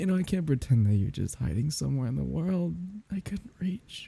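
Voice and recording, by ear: In a put-on character voice, a man speaks at a fairly quick pace and medium pitch with big pitch swings, vocal fry, a slightly husky edge and a dark, mellow tone.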